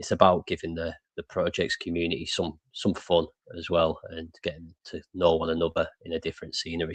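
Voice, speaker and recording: The sound is dry and close, with no echo and a quiet background. A man talks at a fairly quick pace. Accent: English. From England. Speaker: crypto show host. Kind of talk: casual chat.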